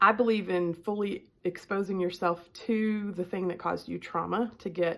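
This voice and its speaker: On a very clean recording with a silent background, a woman with a strong Southern US accent speaks in fairly even intonation, with vocal fry. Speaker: life coach. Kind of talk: self-help talk to camera. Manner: casual with many filler ums.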